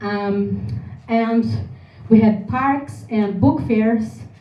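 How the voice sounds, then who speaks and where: A woman speaks at medium pitch with a Brazilian Portuguese accent. Audible room echo surrounds her voice. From Brazil, Porto Alegre. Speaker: singer-songwriter. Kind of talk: presentation. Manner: halting.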